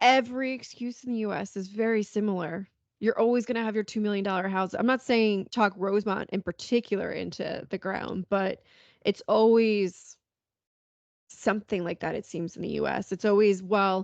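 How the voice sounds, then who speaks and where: Recorded with a dry, close sound with no echo and a quiet background, a woman with a New York accent speaks at a medium pitch with fairly even intonation. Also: moderate pace. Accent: American, New York. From Long Island, New York. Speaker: podcast host. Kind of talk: casual chat.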